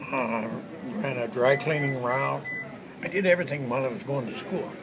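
The speech moves at a fairly quick pace. Noticeable background noise runs underneath it. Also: man. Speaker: western artist. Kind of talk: interview answer. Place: hall.

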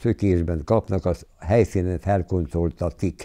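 A man's dark, mellow voice at a fairly slow pace, with ordinary pitch variation and a quiet background. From southern Slovakia, Hungarian minority. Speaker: war eyewitness; witness. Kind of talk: interview testimony. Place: home room. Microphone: lapel.

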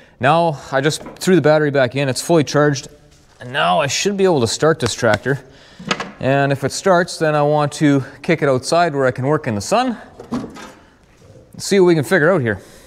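This man talks at a fairly quick pace with ordinary pitch variation. Light background noise runs underneath. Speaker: tractor mechanic. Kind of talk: casual repair vlog explanation. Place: farm machine. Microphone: lapel.

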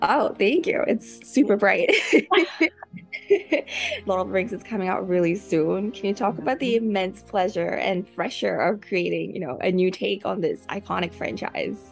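The speech moves at a moderate pace, with a dry sound with no echo and faint music in the background. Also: woman. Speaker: interviewer. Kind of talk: interview questions. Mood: cheerful, giggly. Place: home room. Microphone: video call.

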